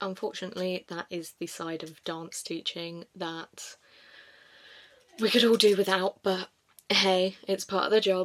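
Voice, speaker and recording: In an animated tone, a woman speaks at a fairly slow pace. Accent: southern English. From southern England. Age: 20s. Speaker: vlogger and dance teacher. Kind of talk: casual vlog talk to camera. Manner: chatty, animated.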